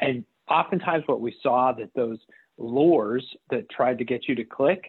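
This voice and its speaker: Delivered at a moderate pace, a plain, everyday voice carries lively intonation. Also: man. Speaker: cybersecurity expert. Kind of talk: radio interview.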